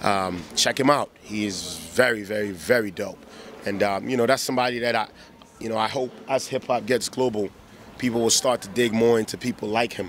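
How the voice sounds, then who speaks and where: Against noticeable background noise, a man with a medium pitch speaks at a fairly quick pace. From Ghana. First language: Twi. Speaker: rapper. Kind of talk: interview. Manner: animated.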